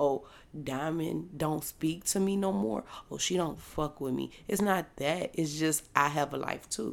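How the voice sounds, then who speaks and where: Very deep and low in pitch, a woman speaks with vocal fry and lively intonation at a fairly slow pace. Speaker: podcast host. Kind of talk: casual solo podcast monologue. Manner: casual, conversational.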